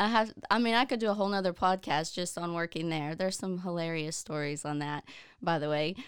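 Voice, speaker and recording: A woman with a normal speaking voice talks at a fairly quick pace, her pitch fairly low with ordinary pitch variation, on a very clean recording with a silent background. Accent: American. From southeast Oklahoma. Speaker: occupational therapy assistant. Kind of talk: casual chat.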